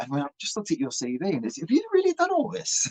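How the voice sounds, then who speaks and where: A man with an English accent talks very fast, his pitch swinging very widely. The sound is dry and close with no echo. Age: 50s. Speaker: rock musician. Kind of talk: interview. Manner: halting.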